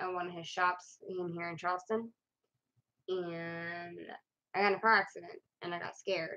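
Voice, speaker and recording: A woman speaks in a flat, monotone way, leaving long, frequent pauses. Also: moderate pace. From Hawaii. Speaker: vlogger. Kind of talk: personal vlog monologue. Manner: halting.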